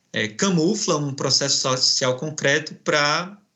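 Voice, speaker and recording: A man with a northeastern Brazilian accent speaks at a fairly high pitch with ordinary variation and vocal fry. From Brazilian Northeast. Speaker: professor and researcher. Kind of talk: academic interview. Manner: hesitant, many fillers.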